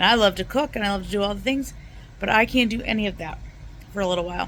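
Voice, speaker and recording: Speaking very fast with vocal fry, a woman keeps ordinary pitch variation. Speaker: home cooking vlogger. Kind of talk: casual vlog. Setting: at home in recliner. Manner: soft-spoken.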